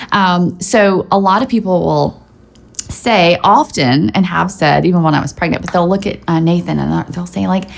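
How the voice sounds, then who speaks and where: A woman with a fairly low pitch and ordinary pitch variation speaks at a moderate pace over noticeable background noise. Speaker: YouTuber, stay-at-home mom. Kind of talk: casual vlog chat. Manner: animated.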